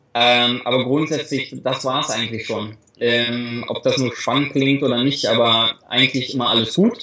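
A man's bright, sharp tone at medium pitch, with fairly even intonation and a moderate pace. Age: 30s. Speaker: travel blogger and influencer. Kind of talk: interview. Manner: halting, many repeated words.

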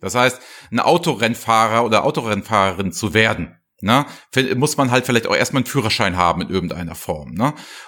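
This man's voice has a bright, sharp, animated tone at medium pitch. His intonation is lively and his pace fairly quick. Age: 50s. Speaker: business intelligence podcast host. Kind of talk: casual chat.

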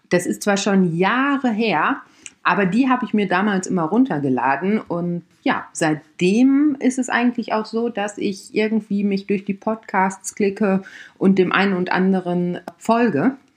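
A woman with medium pitch talks at a fairly slow pace. Her intonation is lively, and the background is quiet. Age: 30s. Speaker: podcast host and camping blogger. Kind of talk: casual monologue. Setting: home recording at laptop.

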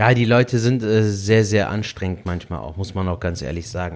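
A man talks at a moderate pace in a fairly low pitch with ordinary pitch variation and a slight Rhineland accent. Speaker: stand-up comedian. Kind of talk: casual chat. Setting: video call. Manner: melodic.

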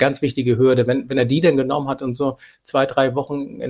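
At a very fast pace, a man speaks with medium pitch, a somewhat breathy voice and monotone, flat intonation, in a dry, close sound with no echo. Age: 40s. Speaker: logistics company managing director. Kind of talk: interview.

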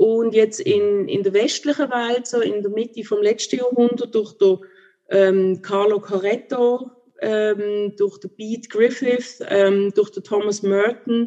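At a very slow pace, a woman talks in a fairly high pitch. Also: fairly even intonation. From Switzerland, Basel. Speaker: theologian and contemplation teacher. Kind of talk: interview. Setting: video call.

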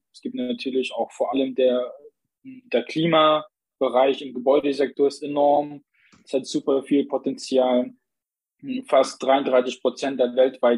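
A man with a normal speaking voice at medium pitch. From Saxony, Vogtland (Plauen). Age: 20s. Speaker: member of parliament, civil engineer. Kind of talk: interview.

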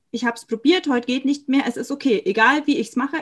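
A woman is speaking. Her pitch is high. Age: 20s. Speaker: chronic illness patient and aspiring coach. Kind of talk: personal testimony in interview.

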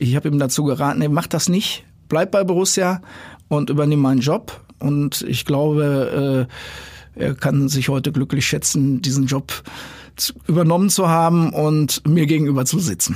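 Here a man speaks in a fairly high pitch, his loudness very even throughout. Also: ordinary pitch variation, moderate pace. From Dortmund, Ruhr area, Germany. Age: 60s. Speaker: youth football director. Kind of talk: casual interview. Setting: studio. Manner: halting, many fillers.

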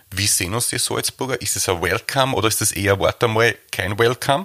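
A man's bright, sharp voice in an Austrian accent, fairly quick in pace with ordinary pitch variation, in a dry, close sound with no echo. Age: 30s. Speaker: baker and bakery owner. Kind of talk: interview.

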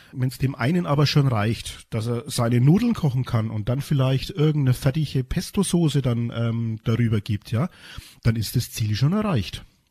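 A somewhat breathy man's voice at a moderate pace. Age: 50s. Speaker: rehabilitation teacher for the blind. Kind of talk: interview. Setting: studio. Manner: hesitant, repeats words.

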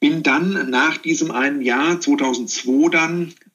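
Speaking at a very slow pace, a man uses a high pitch. His intonation is lively. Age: 50s. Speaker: corporate communications executive. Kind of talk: interview.

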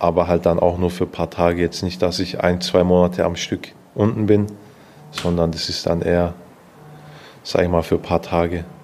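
Against noticeable background noise, a man with a very deep, low pitch speaks at a moderate pace in a monotone, flat intonation. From Stuttgart, Swabia (southwest Germany). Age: 20s. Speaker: taekwondo athlete. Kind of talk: interview.

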